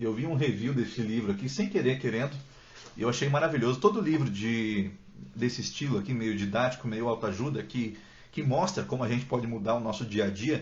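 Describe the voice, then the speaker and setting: A somewhat breathy man's voice at medium pitch, with lively intonation and audible room echo. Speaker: book content creator. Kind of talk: live stream Q&A chat. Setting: Instagram live from home. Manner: fast; talkative. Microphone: poor internet, may freeze.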